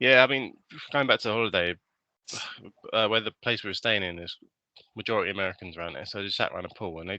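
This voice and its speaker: A man with a British accent talks very fast in a bright, sharp tone at a fairly low pitch, with ordinary pitch variation and big swings in loudness. Long, frequent pauses break up his speech, and the sound is dry and close with no echo over a quiet background. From Britain. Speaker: podcast co-host. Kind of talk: casual chat.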